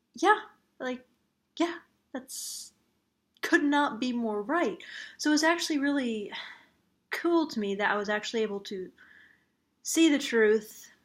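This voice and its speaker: Soft-spoken and high-pitched, a woman talks at a fairly slow pace with very wide pitch swings and long, frequent pauses in a very clean recording with a silent background. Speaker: vlogger. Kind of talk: casual vlog monologue.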